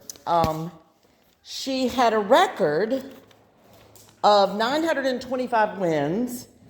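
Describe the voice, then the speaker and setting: Speaking at a very slow pace, a woman with a fairly high pitch uses lively intonation over noticeable background noise. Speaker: daughter introducing her mother. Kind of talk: spoken introduction to an audience.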